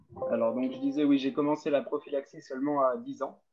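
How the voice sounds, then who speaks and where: A man with a plain, everyday voice, fairly high pitch and ordinary pitch variation. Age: 20s. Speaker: patient giving testimony. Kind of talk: testimony.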